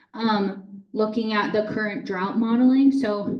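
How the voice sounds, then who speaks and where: A woman speaks with an American accent at a medium pitch. Her intonation is fairly even, with noticeable background noise. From Boston area, US Northeast. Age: 30s. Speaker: water utility manager. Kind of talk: public talk with slides. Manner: casual, conversational.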